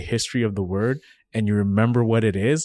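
In a very clean recording with a silent background and a dry, close sound with no echo, a man with a dark, mellow tone and medium pitch talks at a very fast pace. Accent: East African. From Kenya, moved to North America as a child. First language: Swahili. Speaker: podcast co-host. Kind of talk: casual discussion.

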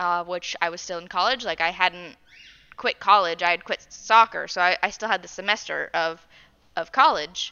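An ordinary speaking voice in an American accent, fairly quick in pace, with fairly even intonation. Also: woman. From Arizona. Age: 20s. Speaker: podcast co-host. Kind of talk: casual chat.

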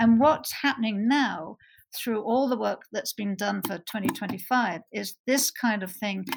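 A somewhat breathy voice with an American accent and ordinary pitch variation comes through on a very clean recording with a silent background. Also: woman. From Bristol, England. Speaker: animal sanctuary co-founder. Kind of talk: interview.

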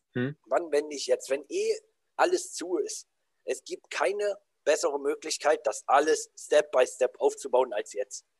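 This man talks at a fairly slow pace. The sound is dry and close, with no echo. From southern Saxony-Anhalt, Germany. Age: 20s. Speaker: anti-bullying coach. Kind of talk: podcast interview.

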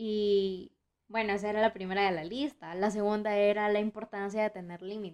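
Speaking at a moderate pace, a woman keeps her medium-pitched voice in a monotone, flat intonation. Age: young (19). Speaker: podcaster. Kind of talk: casual monologue.

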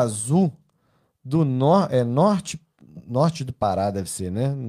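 A man with a fairly high voice swings his pitch very widely, recorded very cleanly against a silent background. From Belo Horizonte, Brazil. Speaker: podcast host. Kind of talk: casual chat. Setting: at home.

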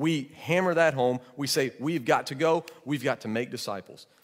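A man's normal speaking voice, fairly high in pitch, with ordinary pitch variation at a moderate pace. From Georgia, US South. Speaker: pastor. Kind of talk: sermon.

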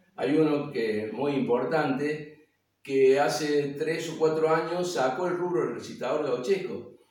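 Audible room echo surrounds a man talking at a fairly high pitch and fairly slow pace, with ordinary pitch variation. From Argentina, Córdoba province countryside (Río Cuarto). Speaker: folk poetry reciter. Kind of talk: casual talk about his craft. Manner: halting, many fillers and repetitions.

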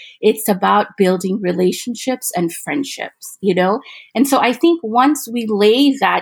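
Speaking in an American accent, a woman uses a fairly high pitch and lively intonation at a moderate pace. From Fulton, Missouri, US Midwest (from age six). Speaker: interfaith council director. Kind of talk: interview.

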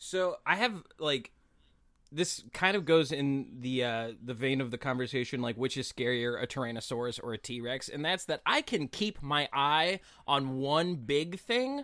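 A fairly high-pitched male voice with an American accent and a bright, sharp tone, at a fairly slow pace on a very clean recording with a silent background. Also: ordinary pitch variation. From West Virginia, Appalachia. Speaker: comedian guest. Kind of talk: casual comedic podcast chat.

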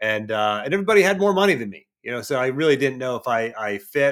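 Over a silent background in a very clean recording, a man talks at a very fast pace. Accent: American. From Pittsburgh area, western Pennsylvania. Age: 40s. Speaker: performance coach and former wrestler. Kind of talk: casual interview.

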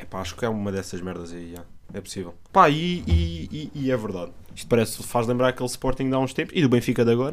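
Talking at a very fast pace, a man with a medium pitch swings widely in pitch and makes big swings in loudness. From Setúbal, Portugal. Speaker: podcast co-host. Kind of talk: casual chat. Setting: studio.

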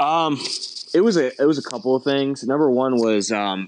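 Against a quiet background, a man with an American accent speaks at a fairly slow pace with ordinary pitch variation, the sound dry and close with no echo. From US Midwest, Cleveland, Ohio. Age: 30s. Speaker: film and commercial director. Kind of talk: casual interview.

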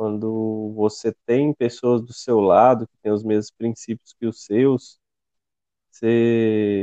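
Speaking very slowly in a medium pitch, a man delivers monotone, flat intonation with a dark, mellow tone, recorded dry and close with no echo. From interior of Minas Gerais, then Formosa, Goiás. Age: 20s. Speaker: podcast co-host, civil engineering graduate. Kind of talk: casual chat.

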